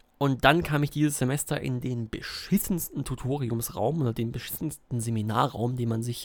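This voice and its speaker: A man speaks at a moderate pace and medium pitch. The recording is very clean, with a silent background. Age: 20s. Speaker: podcaster and university student. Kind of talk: casual solo podcast monologue. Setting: recording at a desk at home. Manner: hesitant, many filler sounds.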